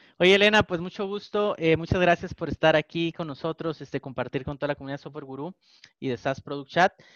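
A man's plain, everyday voice, fairly high in pitch with ordinary pitch variation, at a fairly quick pace, dry and close with no echo over a quiet background. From Mexico, Tijuana. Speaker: podcast co-host. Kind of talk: interview.

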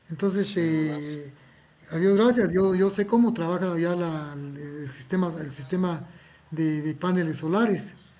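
With audible room echo around him, a man speaks fairly slowly in a dark, mellow tone, his pitch high for a man and ordinarily varied. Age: 70s. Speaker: electronics technician. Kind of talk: interview.

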